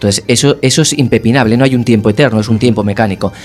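Very fast speech from a man at a medium pitch with ordinary pitch variation. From Castellón, Spain. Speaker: musician. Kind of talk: interview. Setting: studio.

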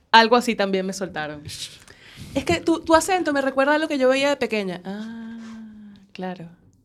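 With a fairly high pitch and very wide pitch swings, a woman talks at a moderate pace, her loudness rising and falling in big swings. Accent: Venezuelan. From Venezuela. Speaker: radio panelist. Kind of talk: casual chat.

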